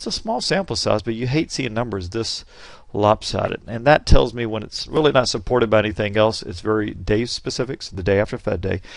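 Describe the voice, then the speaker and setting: A fairly quick pace with ordinary pitch variation and big swings in loudness. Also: man, medium pitch for a man. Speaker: day trading educator. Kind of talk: market recap tutorial. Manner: fast.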